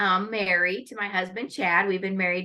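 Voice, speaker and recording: A woman speaks with a US Midwestern accent at medium pitch. Her tone is bright and sharp, her intonation fairly even. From Northwest Iowa, US Midwest. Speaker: lawyer and pageant titleholder. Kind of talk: interview.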